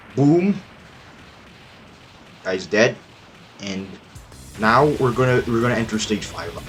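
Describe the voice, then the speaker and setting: A man of medium pitch at a very slow pace, lively intonation and long, frequent pauses, with music in the background. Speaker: gamer giving commentary. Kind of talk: game commentary voiceover. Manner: hesitant, stuttering, trailing off.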